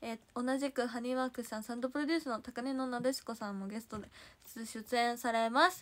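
In a Kansai accent, a woman with a high pitch talks at a very fast pace in an animated tone. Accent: Kansai (Osaka) dialect. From Osaka, Japan. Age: 20s. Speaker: idol livestreamer. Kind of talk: casual livestream chat reading viewer comments. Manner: animated, frequent laughter. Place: home room. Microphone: phone near.

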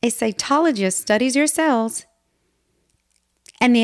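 A woman speaks at a moderate pace, her fairly high voice swinging very widely in pitch. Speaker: children's story audiobook narrator. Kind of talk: children's story audiobook reading.

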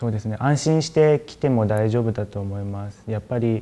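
A man's voice with a dark, mellow tone and ordinary pitch variation. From Japan. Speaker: university student. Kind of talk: testimonial. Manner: halting, many fillers. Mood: calm, positive. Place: office. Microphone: lapel.

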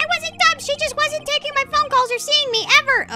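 A woman's put-on character voice, squeaky and extremely high-pitched, at a fairly quick pace with music in the background. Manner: indignant, defensive.

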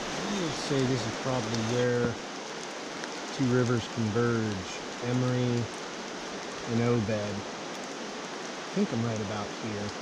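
Over loud background noise, a man talks at a very slow pace with long, frequent pauses in a dry sound with no echo. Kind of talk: casual vlog chat. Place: forest. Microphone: camera far.

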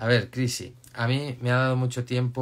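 Very slowly, a man talks in a medium pitch. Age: 50s. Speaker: life coach. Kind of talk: live stream talk; live Q&A advice chat. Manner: casual, halting with repetitions. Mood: calm, reassuring. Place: home room. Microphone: phone near.

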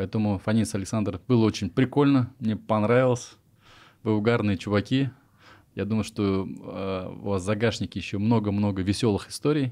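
In an unremarkable speaking voice, a man talks at a moderate pace, fairly low in pitch, with fairly even intonation. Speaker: interviewer, podcast host. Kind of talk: casual interview. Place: studio. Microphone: studio mic.

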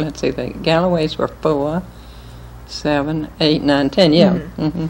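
Woman with a very deep, low pitch and light background noise. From Winston-Salem, North Carolina; North Carolina. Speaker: interviewee. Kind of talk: oral history interview answer. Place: home room. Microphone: old recording.

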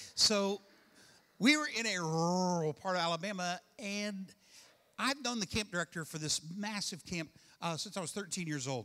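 A man's raised, projected voice, high in pitch, with a bright, sharp tone, lively intonation and a moderate pace. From Kentucky. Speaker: pastor. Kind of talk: sermon. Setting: church with congregation. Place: church. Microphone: handheld.

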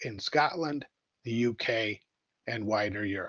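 A normal speaking voice at a fairly slow pace, with an American accent. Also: man. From United States. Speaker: economic development official. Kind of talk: business presentation. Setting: video call.

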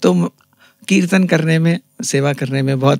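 Against a quiet background, a man with a fairly high voice talks at a fairly slow pace in a dry sound with no echo. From India, Chhattisgarh (Raipur); Chhattisgarh. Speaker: ENT surgeon; guest. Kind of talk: interview. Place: studio. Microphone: studio mic.

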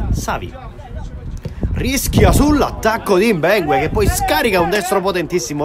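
Crowd noise fills the background as a man speaks in a high pitch at a moderate pace. His tone is animated, with very wide pitch swings. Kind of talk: live sports commentary. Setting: amateur football match commentary over highlights. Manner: animated, rising intensity on shots and goals.

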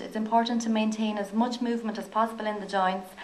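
A woman with a fairly high pitch talks fairly quickly in a monotone, flat way. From Ireland. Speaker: physiotherapist. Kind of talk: lecture. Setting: stage with audience. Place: hall.

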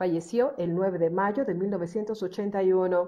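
Using an ordinary speaking voice, a woman of medium pitch talks at a moderate pace with ordinary pitch variation. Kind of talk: biography narration.

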